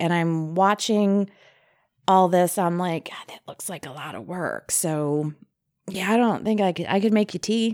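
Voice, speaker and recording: In an ordinary speaking voice, a woman talks at a fairly slow pace and medium pitch with ordinary pitch variation on a very clean recording with a silent background. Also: big swings in loudness. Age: 40s. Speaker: former teacher. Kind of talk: casual chat.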